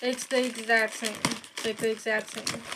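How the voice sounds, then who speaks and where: A woman talks at a moderate speed while noticeable background noise carries on beneath her. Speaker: fidget toy YouTuber. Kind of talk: casual show-and-tell review.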